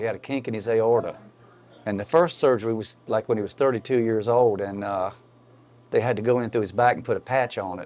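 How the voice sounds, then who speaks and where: This man talks at a fairly quick pace in a medium pitch, with an Appalachian accent. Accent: Appalachian US Southern. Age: 60s. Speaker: local rock musician. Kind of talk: casual chat.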